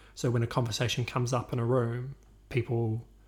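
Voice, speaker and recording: Speaking with a New Zealand accent, a man has a medium pitch and a somewhat breathy voice. The recording is very clean, with a silent background. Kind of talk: casual chat.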